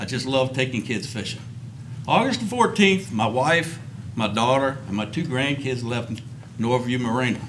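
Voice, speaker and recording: In an American accent, a man talks at a moderate pace and medium pitch with ordinary pitch variation, amid audible room echo and noticeable background noise. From Virginia, Rappahannock River area. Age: 60s. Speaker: recreational fisherman giving public comment. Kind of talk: public testimony. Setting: public commission meeting.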